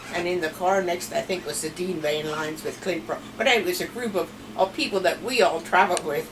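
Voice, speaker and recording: With a Pennsylvania Dutch accent, a woman speaks at a fairly quick pace and a fairly low pitch, with ordinary pitch variation, hardly any pauses and noticeable background noise. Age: old. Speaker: grandmother telling family stories. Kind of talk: storytelling interview.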